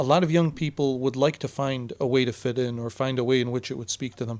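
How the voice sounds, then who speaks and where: A man with an Arabic accent, moderate pace and ordinary pitch variation. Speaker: teacher. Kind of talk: casual podcast interview.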